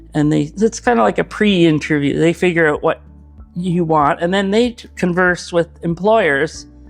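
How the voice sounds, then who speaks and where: A man with a high voice speaks at a moderate pace with ordinary pitch variation while music plays in the background. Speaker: retired animator. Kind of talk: interview answer. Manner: hesitant, casual.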